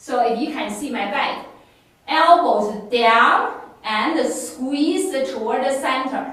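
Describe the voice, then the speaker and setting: Speaking at a very slow pace with a Chinese accent, a woman with high pitch and ordinary pitch variation is heard through noticeable background noise and audible room echo. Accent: non-native English, Chinese. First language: Mandarin. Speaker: fitness instructor. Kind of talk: exercise class instruction.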